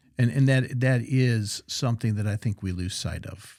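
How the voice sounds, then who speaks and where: A man speaks at a fairly quick pace, somewhat breathy, with a dark, mellow tone and ordinary pitch variation. The recording is very clean, with a silent background. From US South (Central Florida). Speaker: podcast host. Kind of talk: podcast interview.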